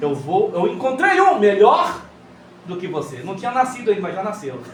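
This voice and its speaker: A man's high-pitched voice with very wide pitch swings at a fairly slow pace, amid audible room echo and noticeable background noise. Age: 60s. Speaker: pastor. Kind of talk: sermon. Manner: animated.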